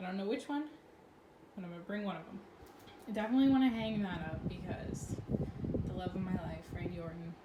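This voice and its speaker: There is audible room echo and noticeable background noise as a woman speaks at a fairly quick pace. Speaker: vlogger. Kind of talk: casual vlog. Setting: at home in bedroom. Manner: fast.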